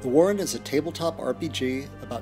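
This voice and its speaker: Lively intonation carries over music in the background. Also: man. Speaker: game designer. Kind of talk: crowdfunding pitch to camera.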